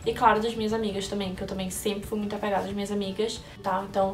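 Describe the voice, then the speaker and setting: Over music in the background and with audible room echo, a woman speaks at a medium pitch in a monotone, flat intonation. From Brazil, Recife (Pernambuco). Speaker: vlogger. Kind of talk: casual chat, answering viewer questions.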